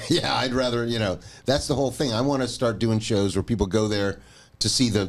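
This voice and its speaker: A man with a plain, everyday voice talks at a fairly quick pace with very even loudness. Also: medium pitch for a man, ordinary pitch variation. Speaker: podcast host and bass player. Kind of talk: casual chat.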